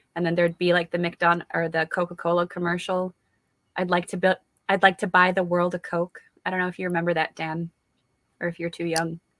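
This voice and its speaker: In a fairly low pitch, a woman speaks at a fairly quick pace with monotone, flat intonation, the sound dry and close with no echo. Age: 30s. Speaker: livestream host. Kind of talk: casual chat.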